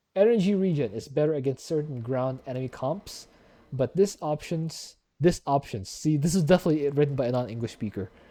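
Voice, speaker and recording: A man with a non-native accent speaks in a fairly high pitch with a dark, mellow tone. His intonation is lively. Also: fairly quick pace, very clean recording, silent background. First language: not English. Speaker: gaming YouTuber. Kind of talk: casual commentary reading wiki aloud. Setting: voice call with guest.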